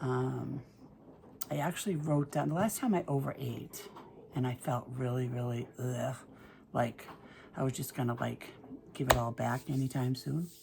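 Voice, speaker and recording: A woman's very deep, low voice in a Boston accent, at a moderate pace with long, frequent pauses. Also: ordinary pitch variation. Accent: Boston-area New England. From Massachusetts, north of Boston. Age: 60s. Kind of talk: casual talk to camera. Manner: chatty, hesitant.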